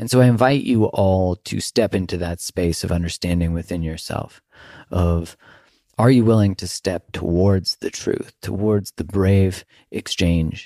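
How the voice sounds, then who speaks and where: A man's very deep, low voice moves at a fairly slow pace. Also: ordinary pitch variation, very clean recording, silent background. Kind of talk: casual interview chat. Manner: energetic.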